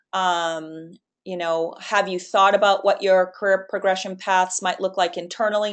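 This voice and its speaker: Over a quiet background, a woman with a Boston accent speaks with fairly even intonation. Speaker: webinar presenter. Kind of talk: webinar Q&A. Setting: online webinar.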